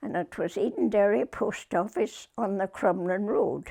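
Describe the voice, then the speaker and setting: On a very clean recording with a silent background, a woman speaks very slowly at a medium pitch. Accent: Northern Irish. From Northern Ireland, Limavady area. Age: 80s+. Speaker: retired post office worker. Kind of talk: interview answer.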